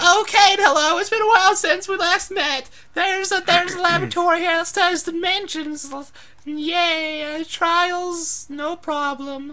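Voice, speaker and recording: A put-on character voice sounds strained at an extremely high pitch. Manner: strained put-on character voice.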